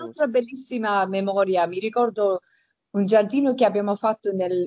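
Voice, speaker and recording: This woman speaks at a medium pitch. Her pitch varies in an ordinary way. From Campania, southern Italy (Avellino province), rural. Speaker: garden designer. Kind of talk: interview. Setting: remote call. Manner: halting.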